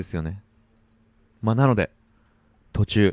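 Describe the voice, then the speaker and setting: This man's animated delivery swings very widely in pitch, and the sound is dry and close with no echo. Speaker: snowboard podcast host. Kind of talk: casual chat. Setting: bar or restaurant.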